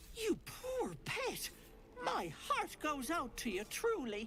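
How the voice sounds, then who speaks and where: In a high-pitched, put-on character voice, the speaker goes at a very slow pace over clear background noise. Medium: video game. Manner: cooing, affectionate endearments.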